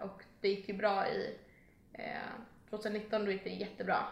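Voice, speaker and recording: The delivery is monotone and flat at a moderate pace. Room echo is audible. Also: woman. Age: 20s. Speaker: social media content creator. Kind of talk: casual chat.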